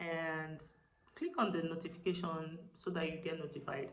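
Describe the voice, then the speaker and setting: An animated tone comes through amid audible room echo. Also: woman. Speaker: lifestyle vlogger. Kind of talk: casual vlog talk to camera.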